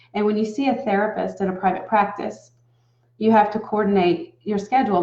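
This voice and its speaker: A woman with an American accent speaks at a fairly quick pace, her voice somewhat breathy. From US South. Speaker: relationship coach. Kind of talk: talking-head advice video. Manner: casual, conversational.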